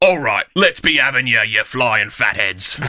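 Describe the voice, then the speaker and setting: Using a put-on character voice, a man talks in a raspy tone at medium pitch and a moderate pace with lively intonation. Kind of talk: gruff, colloquial.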